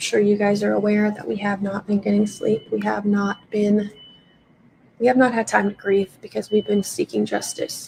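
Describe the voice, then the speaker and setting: Putting on a raspy character voice, a woman of medium pitch talks in a flat monotone at a moderate pace. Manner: weary, grieving.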